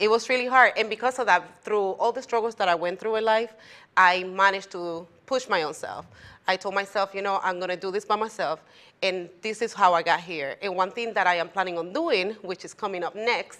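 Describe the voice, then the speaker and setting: In a Spanish accent, a woman speaks at a fairly quick pace with a medium pitch, a bright, sharp tone and ordinary pitch variation against a quiet background. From Puerto Rico. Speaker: tax preparer, business owner. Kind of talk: talk show interview.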